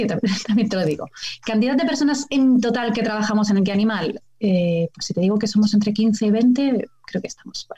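A woman with a plain, everyday voice speaks fairly high and fairly quickly, with ordinary pitch variation. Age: 30s. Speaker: biologist and TV nature show presenter. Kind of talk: casual chat.

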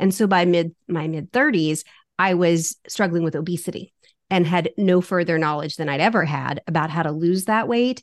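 Speaking at a moderate pace, a woman uses a normal speaking voice with a fairly low pitch and ordinary pitch variation. The sound is dry and close with no echo, over a quiet background. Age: 50s. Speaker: fitness coach. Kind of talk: casual interview.

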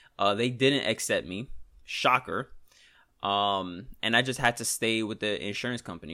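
Over a silent background in a very clean recording, a man with a New York accent speaks at a moderate pace in a medium pitch with a bright, sharp tone. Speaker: trader and podcaster. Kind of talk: solo podcast, casual talk. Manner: casual, conversational, venting.

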